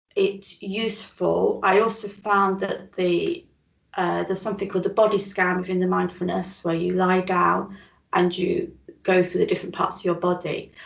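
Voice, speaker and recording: With a Northern English accent, a woman speaks at a moderate pace. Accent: Northern British. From northern England. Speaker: chronic illness recovery interviewee. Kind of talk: interview, personal testimony.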